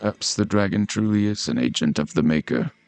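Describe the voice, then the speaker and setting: Putting on a character voice, a man speaks at a fairly quick pace in a fairly low pitch with very wide pitch swings, the sound dry and close with no echo. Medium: read story.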